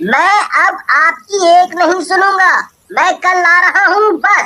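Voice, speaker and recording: A woman puts on a cartoonish character voice with an extremely high pitch and ordinary pitch variation. She talks at a fairly slow pace, her loudness very even. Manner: earnest.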